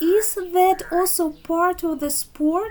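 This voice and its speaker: A woman puts on a character voice, pitched extremely high and delivered at a very slow pace. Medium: read story. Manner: dry, wry.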